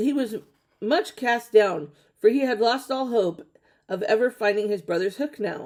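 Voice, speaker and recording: Putting on a character voice, a woman speaks raspily at a fairly high pitch with lively intonation and a moderate pace. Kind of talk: fairy tale reading. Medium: read story. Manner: steady, occasionally stumbling.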